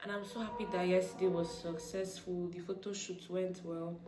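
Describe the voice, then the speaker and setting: Monotone and flat, a woman's voice carries no real intonation. Noticeable background noise and audible room echo surround her. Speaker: vlogger. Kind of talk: casual vlog talk.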